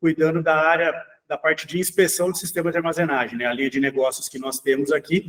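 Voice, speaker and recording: Using a plain, everyday voice, a man speaks at a fairly high pitch with fairly even intonation. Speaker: engineering assistant, inspection specialist. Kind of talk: webinar panel discussion. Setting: online webinar.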